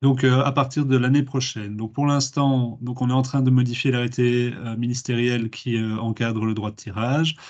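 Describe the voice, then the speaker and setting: The background is quiet. A man speaks with fairly even intonation. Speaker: public administration official. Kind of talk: webinar presentation. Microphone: laggy connection; video call.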